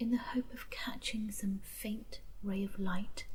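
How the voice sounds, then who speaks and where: Over noticeable background noise, a soft-spoken woman talks in a calm tone at a very slow pace. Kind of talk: soft spoken story reading. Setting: campfire ambience. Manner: soft-spoken, calm.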